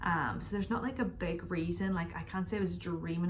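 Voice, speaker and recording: A woman with a Northern Irish accent and a fairly low pitch speaks at a very fast pace with fairly even intonation, with audible room echo. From Northern Ireland. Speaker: YouTuber. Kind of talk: casual Q&A vlog. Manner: chatty, casual.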